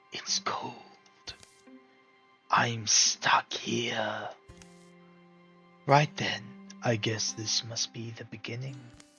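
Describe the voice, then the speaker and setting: Whispering in a put-on character voice at a very slow pace, the speaker leaves long, frequent pauses over faint background music. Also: man. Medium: game stream. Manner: dry, wry.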